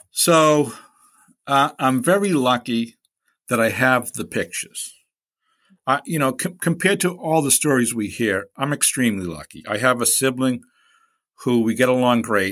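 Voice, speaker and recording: A man with a Boston accent at medium pitch and a moderate pace, lively in intonation with long, frequent pauses, on a very clean recording with a silent background. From Boston, Hyde Park. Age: 60s. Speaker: guest sharing personal story. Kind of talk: personal testimony in interview.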